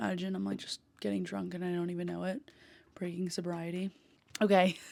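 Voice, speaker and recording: Soft-spoken and calm in tone, a woman with an American accent talks at a fairly quick pace and a medium pitch. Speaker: podcast host. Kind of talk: casual chat.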